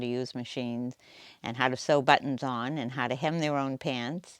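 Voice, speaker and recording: A woman with a Boston accent speaks in a very deep, low voice and a flat monotone, on a very clean recording with a silent background. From US Northeast, Boston area. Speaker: quilt shop owner, retired nurse. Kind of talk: interview monologue.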